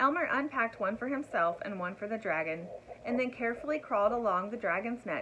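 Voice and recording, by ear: Lively intonation in a natural voice reading a text aloud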